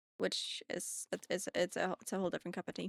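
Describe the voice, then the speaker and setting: The recording of this woman is very clean, with a silent background and a dry, close sound with no echo. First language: German. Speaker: streamer. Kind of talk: casual chat.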